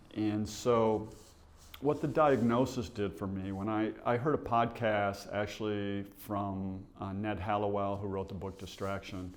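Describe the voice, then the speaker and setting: With audible room echo around him, a man with an American accent speaks fairly slowly at a fairly low pitch and with fairly even intonation. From Michigan, US (Bay City). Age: 60s. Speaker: realtor. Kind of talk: testimony.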